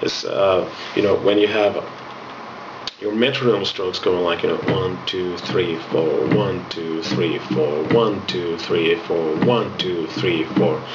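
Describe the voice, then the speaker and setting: Music plays in the background as a man with a Finnish accent talks at a very slow pace. His very deep, low pitch varies in an ordinary way amid audible room echo. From Finland. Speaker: music instructor. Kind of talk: tutorial.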